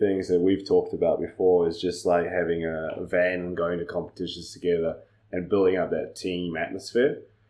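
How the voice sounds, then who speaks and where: A man speaks with a New Zealand accent. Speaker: judo coach. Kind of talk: casual chat.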